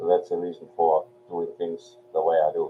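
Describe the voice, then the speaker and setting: A man is speaking. His pace is moderate. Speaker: online marketing livestream host. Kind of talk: motivational talk on a livestream. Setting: live stream.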